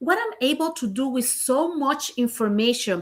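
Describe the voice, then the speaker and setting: A woman with a Puerto Rican accent speaks at a high pitch with very wide pitch swings and a bright, sharp tone. Her delivery is animated and fairly slow. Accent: Puerto Rican Spanish accent, noticeable. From Puerto Rico. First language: Spanish. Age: 50s. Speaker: business coach and real estate broker. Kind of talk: livestream motivational talk. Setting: livestream on camera.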